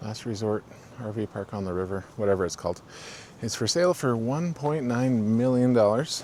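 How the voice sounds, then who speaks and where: A man with a normal speaking voice, medium pitch, lively intonation and a moderate pace. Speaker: RV travel vlogger. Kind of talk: walking tour vlog. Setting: outdoors, campground by river.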